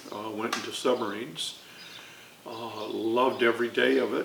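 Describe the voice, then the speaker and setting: In an American accent, a man talks at a medium speed, with audible echo from the room and noticeable noise behind him. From Chicago, US Midwest. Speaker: navy veteran and former art student. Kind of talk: oral history interview. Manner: hesitant, many fillers.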